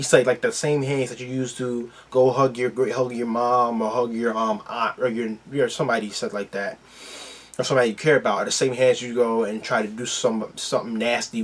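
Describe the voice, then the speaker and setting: A man with an American accent speaks at medium pitch and a fairly quick pace, his intonation fairly even. Noticeable background noise runs underneath. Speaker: YouTube reaction video host. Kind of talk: casual reaction commentary. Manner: halting, many fillers.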